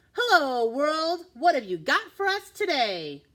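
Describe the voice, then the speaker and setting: A put-on character voice rings out high and raised, projecting at a fairly slow pace. Its pitch swings very widely. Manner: cheerful greeting.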